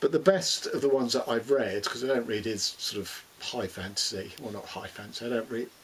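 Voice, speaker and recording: A man with a London accent at a fairly quick pace, over noticeable background noise. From London, England. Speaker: booktuber. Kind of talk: casual monologue. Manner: hesitant, many fillers.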